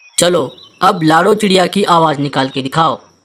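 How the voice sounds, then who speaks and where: A cartoonish character voice at middle pitch and moderate pace. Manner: sly, sneering.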